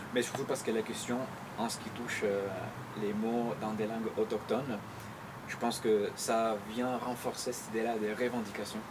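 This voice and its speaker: Pausing long and often, a man with a medium pitch speaks in a monotone, flat intonation amid noticeable background noise and audible room echo. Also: moderate pace. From Chile. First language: Spanish (speaking French). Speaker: poet. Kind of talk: interview. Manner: hesitant, many fillers.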